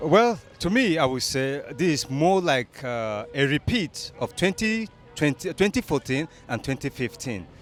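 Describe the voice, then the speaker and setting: Against music in the background, a man with a fairly high pitch talks with very wide pitch swings and hardly any pauses. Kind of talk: vox pop interview answer.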